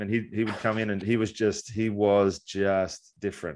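The recording is very clean with a silent background. The speaker has an Australian accent. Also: man. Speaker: baseball analyst, former pitcher. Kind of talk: casual sports chat.

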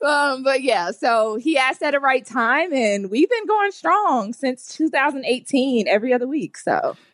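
A woman's high voice with very wide pitch swings and very even loudness. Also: moderate pace. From Atlanta, Georgia. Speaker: podcast co-host. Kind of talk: casual interview chat.

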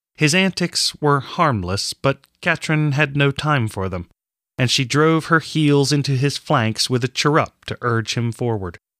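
A man's fairly high-pitched voice in an animated, solemn tone, fairly slow in pace, with ordinary pitch variation, on a very clean recording over a silent background. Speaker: audiobook narrator. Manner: measured, animated storytelling pace; shifts from solemn and ominous to brisk and playful.

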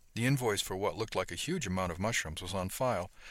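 This is a natural reading voice. It sounds like a natural reading voice throughout.

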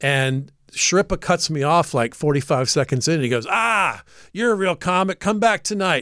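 The voice carries an American accent and lively intonation. Its pace is moderate. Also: man, high pitch for a man, dry, close sound with no echo, very clean recording, silent background. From US South, Atlanta, Georgia. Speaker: comedian and radio show regular. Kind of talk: casual chat. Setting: studio.

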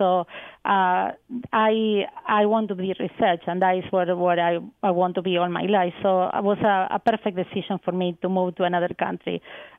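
In a Spanish accent, the speech moves at a moderate pace with monotone, flat intonation. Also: woman, medium pitch for a woman. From Argentina. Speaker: research scientist. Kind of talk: radio interview. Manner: hesitant, many fillers.

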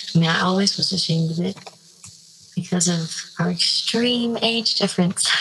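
Against noticeable background noise, a woman speaks at a moderate pace and medium pitch, with ordinary pitch variation and very even loudness. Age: 20s. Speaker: anonymous caller sharing a secret. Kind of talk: confessional voicemail. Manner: halting, hesitant.

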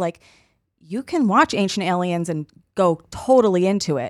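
A woman with an unremarkable speaking voice talks at a fairly slow pace, her medium pitch carried by lively intonation. The recording is very clean, with a silent background. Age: 30s. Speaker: podcast co-host and comedian. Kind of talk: casual chat.

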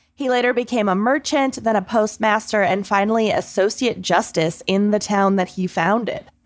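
A woman with a plain, everyday voice talks at a moderate pace with hardly any pauses. Her pitch is fairly high, with ordinary variation and very even loudness. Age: 30s. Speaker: podcast co-host. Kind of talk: casual chat; storytelling.

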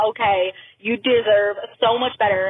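A woman at a fairly high pitch, with noticeable background noise. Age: 20s. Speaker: listener caller. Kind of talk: voicemail story. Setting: recorded phone message.

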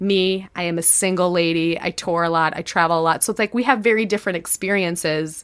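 A very fast, fairly even-toned woman's voice, fairly low in pitch, with an American accent, in a very clean recording with a silent background. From Chicago, US Midwest. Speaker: podcast host and comedian. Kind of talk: casual chat.

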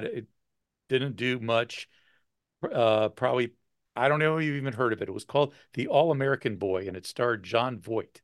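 A man with a normal speaking voice, lively intonation and moderate pace, against a quiet background. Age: 60s. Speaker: podcast co-host. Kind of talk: casual chat.

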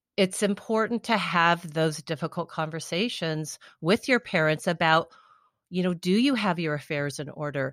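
A woman with an ordinary speaking voice, fairly low pitch and ordinary pitch variation, on a very clean recording with a silent background and a dry, close sound with no echo. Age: 50s. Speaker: author and life coach. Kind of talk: interview.

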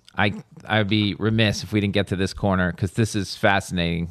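The voice is a man's. Its pitch moves in an ordinary way. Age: 50s. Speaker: podcast host. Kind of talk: casual chat. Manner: animated.

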